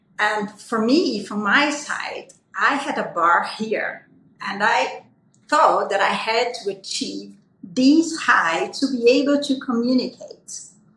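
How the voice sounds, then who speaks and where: A woman with a Portuguese accent speaks at a very slow pace. Her high-pitched voice has lively intonation. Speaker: aesthetic physician. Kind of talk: panel discussion.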